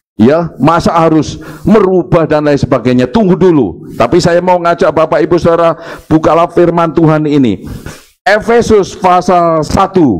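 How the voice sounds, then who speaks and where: Speaking with a Javanese accent, a man keeps a moderate pace, ordinary pitch variation and very even loudness. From Java, Indonesia. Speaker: pastor. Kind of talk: sermon. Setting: church service, live-streamed.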